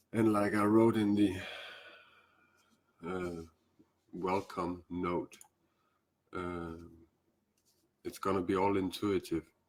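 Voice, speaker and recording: Very slowly and with long, frequent pauses, a man speaks in a very deep, low pitch and monotone, flat intonation. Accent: Danish. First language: Danish. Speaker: spiritual teacher. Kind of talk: live stream talk. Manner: halting.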